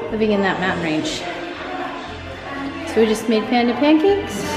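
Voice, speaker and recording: A woman talks at a fairly quick pace. Clear music plays in the background. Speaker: travel vlogger. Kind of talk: casual vlog chat. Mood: reflective, pleased. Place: hall. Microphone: phone near.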